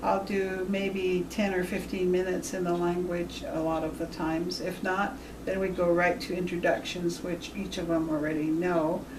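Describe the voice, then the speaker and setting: A woman with a Nevada accent speaks at a moderate pace in a fairly low voice, monotone and flat, with hardly any pauses. Noticeable background noise and audible room echo surround her. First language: Washoe. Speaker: Native language teacher. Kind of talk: interview.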